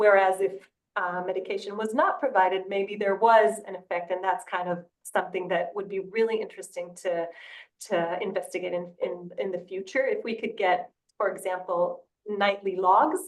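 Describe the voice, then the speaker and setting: A woman at a medium pitch, with fairly even intonation and a moderate pace. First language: not English. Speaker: study co-author, sleep researcher. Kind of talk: webinar panel discussion. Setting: online webinar. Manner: halting, many repetitions and fillers.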